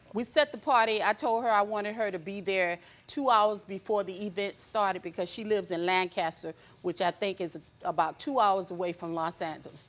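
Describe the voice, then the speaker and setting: A normal speaking voice moves at a fairly quick pace. Its pitch variation is ordinary. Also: woman, medium pitch for a woman. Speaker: plaintiff in a TV court show. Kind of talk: courtroom testimony.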